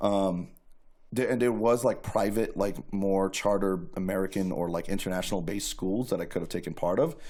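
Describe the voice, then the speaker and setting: With a New York accent, a man talks at a fairly quick pace, his fairly low voice dark and mellow in tone, with ordinary pitch variation. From New York City (Queens). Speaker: guest sharing life story. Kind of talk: testimony. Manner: casual, filler-heavy.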